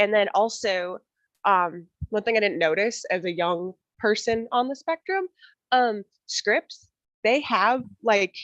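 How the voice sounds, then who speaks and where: Speaking at a very slow pace with long, frequent pauses, a woman with an American accent has a fairly high pitch, ordinary pitch variation and very even loudness, in a dry, close sound with no echo. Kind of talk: roundtable discussion.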